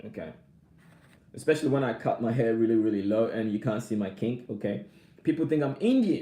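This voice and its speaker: Dark and mellow in tone, a man at medium pitch talks at a fairly quick pace with ordinary pitch variation and long, frequent pauses. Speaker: vlogger. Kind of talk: casual live stream chat. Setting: live stream. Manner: repetitive, halting.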